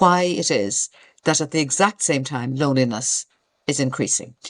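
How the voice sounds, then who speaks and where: Speaking in an Irish accent at a moderate pace, a woman makes very wide pitch swings against a quiet background. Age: 60s. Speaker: retired community worker. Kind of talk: podcast interview. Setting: video call.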